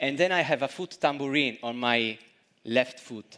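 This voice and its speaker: A voice with an Italian accent plays over music in the background. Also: man. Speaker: street musician / performer. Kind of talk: stage introduction to audience. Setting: stage with audience. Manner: halting.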